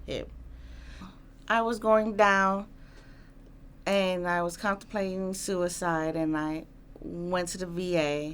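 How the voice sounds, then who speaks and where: In a New York accent, a woman with a fairly low pitch speaks slowly, with fairly even intonation. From Queens, New York. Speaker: Army veteran. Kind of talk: interview answer.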